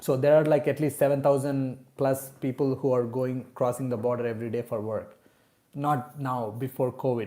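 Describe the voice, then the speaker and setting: A man with a non-native accent speaks at a moderate pace in a dark, mellow tone, his intonation monotone and flat. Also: medium pitch for a man. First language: not English. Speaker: real estate agent. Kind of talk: live stream Q&A. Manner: casual, with many fillers.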